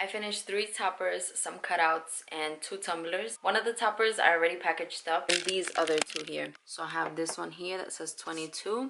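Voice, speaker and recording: Through noticeable background noise, a woman with a Spanish accent talks at a fairly low pitch with hardly any pauses. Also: ordinary pitch variation, moderate pace. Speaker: craft small business owner vlogger. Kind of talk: casual vlog.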